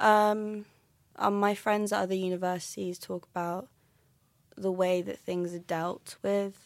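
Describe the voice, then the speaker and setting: A woman with a southern English accent speaks at a medium pitch, fairly slowly, in a flat monotone. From London. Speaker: university student and playwright. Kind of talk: casual interview.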